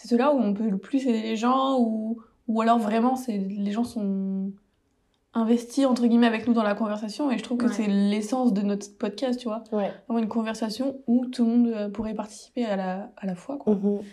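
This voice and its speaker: Speaking at a moderate pace, a woman with a fairly high pitch has a dark, mellow, somewhat breathy tone and fairly even intonation. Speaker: podcast co-host. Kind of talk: casual chat. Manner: more measured, steadier pitch than before.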